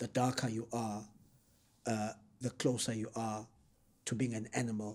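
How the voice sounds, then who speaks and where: A man's medium-pitched voice holds a monotone, flat intonation at a moderate speed. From South Africa, KwaZulu-Natal north of Durban. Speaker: political activist and analyst. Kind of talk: interview.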